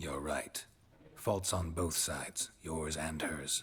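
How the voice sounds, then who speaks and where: A man's put-on character voice, very deep and low, deadpan in tone at a fairly slow pace. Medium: video game. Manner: terse, deadpan.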